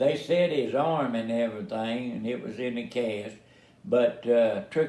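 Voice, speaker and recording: Through noticeable background noise and audible room echo, a man speaks at medium pitch with lively intonation. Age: 80s+. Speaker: family elder telling life story. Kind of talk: casual family interview. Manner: halting, many fillers.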